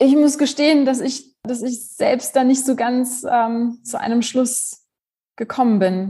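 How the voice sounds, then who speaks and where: A woman speaks at a fairly slow pace in a high voice with a dark, mellow tone and ordinary pitch variation. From Germany. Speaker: philosophy professor. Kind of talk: interview.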